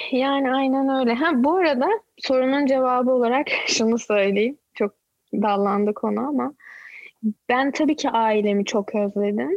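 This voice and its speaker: Her voice is high-pitched with ordinary pitch variation, and the woman keeps a very even loudness at a fairly slow pace. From Turkey, Izmir. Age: 30s. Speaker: YouTuber and mother living in Canada. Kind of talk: casual chat. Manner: outspoken.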